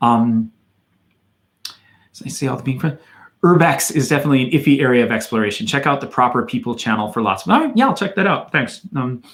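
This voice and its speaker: With an American accent, a man speaks very fast at medium pitch. His intonation is lively, and he leaves long, frequent pauses. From US Midwest, Madison, Wisconsin. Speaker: YouTuber, hiking and Japan channel host. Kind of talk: livestream Q&A with viewers. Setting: livestream. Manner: casual, hesitant with fillers.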